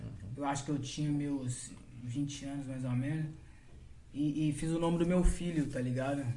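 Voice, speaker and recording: A man with a dark, mellow tone and fairly high pitch sounds somewhat breathy, his intonation fairly even. He keeps a moderate pace with long, frequent pauses, and the room echo is audible. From Brazil. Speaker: funk MC. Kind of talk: casual chat.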